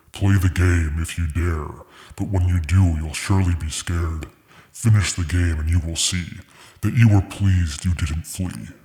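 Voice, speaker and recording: A man uses a put-on, booming character voice with a very deep, low pitch and a menacing tone. He speaks at a moderate pace. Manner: booming, menacing.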